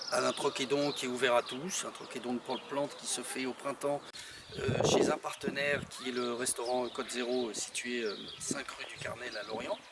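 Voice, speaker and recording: Noticeable background noise sits behind a man talking at a moderate pace, with medium pitch and fairly even intonation. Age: 50s. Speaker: association founder, horticulturist. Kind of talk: interview. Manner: hesitant, many fillers.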